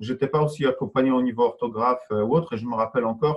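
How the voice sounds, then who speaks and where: With a non-native accent, a man talks at a medium pitch and with ordinary pitch variation. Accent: foreign accent in French. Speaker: entrepreneur and online trainer. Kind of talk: interview. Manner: halting.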